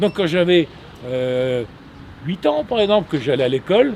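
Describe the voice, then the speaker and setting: A man speaks at a fairly high pitch with lively intonation. Noticeable background noise is present. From Normandy, Manche (France). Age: 70s. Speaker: artisan biscuit maker. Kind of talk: interview storytelling. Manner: halting, many repetitions; animated.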